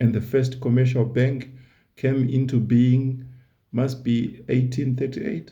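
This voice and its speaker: Speaking in a non-native accent, a man uses a medium pitch at a moderate pace. His voice is somewhat breathy. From Southern Africa. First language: not English. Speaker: YouTuber, history commentator. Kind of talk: casual educational monologue. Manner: conversational, repeats words.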